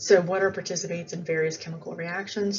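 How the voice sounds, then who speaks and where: A voice with ordinary pitch variation carries an audible room echo. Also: woman. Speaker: biology teacher. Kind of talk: lecture. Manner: casual with fillers.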